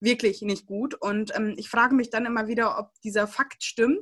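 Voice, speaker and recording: Fairly high-pitched and fairly even in intonation, a woman speaks in a normal speaking voice. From Germany, came from Siberia at age 3-4. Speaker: church youth podcast co-host. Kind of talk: casual chat.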